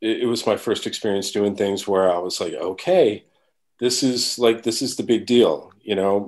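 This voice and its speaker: A man with an American accent, medium pitch, ordinary pitch variation and a moderate pace, against a quiet background. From New York. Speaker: drummer. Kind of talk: casual chat. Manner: halting.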